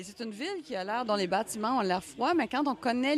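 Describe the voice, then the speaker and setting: Speaking at a fairly quick pace with lively intonation, a woman with a Quebec accent is heard over noticeable background noise. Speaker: crime novelist. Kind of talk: radio interview.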